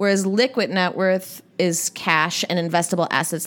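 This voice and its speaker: An ordinary speaking voice from a woman with an American accent, fairly low in pitch, with ordinary pitch variation and a moderate pace, on a very clean recording with a silent background. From Minnesota, South Minneapolis. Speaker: financial advisor. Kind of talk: interview, expert advice.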